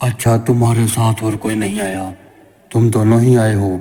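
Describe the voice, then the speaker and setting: A man uses a cartoonish character voice at a medium pitch. His intonation is monotone and flat, and his pace is moderate. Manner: curt, questioning.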